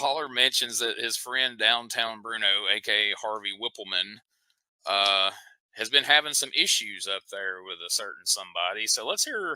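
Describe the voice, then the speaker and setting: Talking at a moderate pace, a man with a Southern US accent has a bright, sharp tone. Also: medium pitch for a man, ordinary pitch variation. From US South. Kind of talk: casual chat.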